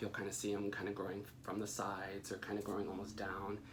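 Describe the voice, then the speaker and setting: A soft-spoken man with a fairly low pitch. Audible room echo and noticeable background noise surround him. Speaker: plant care youtuber. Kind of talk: casual tutorial. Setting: at home. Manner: hesitant, many fillers.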